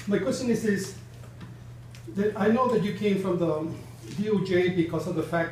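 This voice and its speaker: A man at a fairly quick pace with ordinary pitch variation, audible room echo and noticeable background noise. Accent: American. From Texas. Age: 70s. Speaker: bereaved father and community member. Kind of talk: public meeting question. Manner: halting, repetitive.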